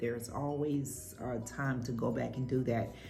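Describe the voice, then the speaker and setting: A woman's very deep, low voice at a moderate pace, with music in the background. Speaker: cooking and talk channel host. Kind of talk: casual talk to camera.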